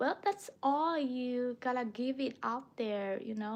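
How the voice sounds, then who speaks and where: Against a quiet background, a woman with a Chinese accent speaks in a high pitch with ordinary pitch variation. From China. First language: Mandarin Chinese. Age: 20s. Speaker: language teacher livestreamer. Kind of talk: casual livestream chat.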